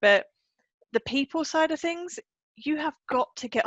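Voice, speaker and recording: A woman speaks with an English accent. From England. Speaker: life coach. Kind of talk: interview.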